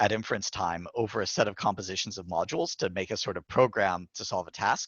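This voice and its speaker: With fairly even intonation, a man is speaking. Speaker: AI researcher. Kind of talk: lecture. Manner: fast.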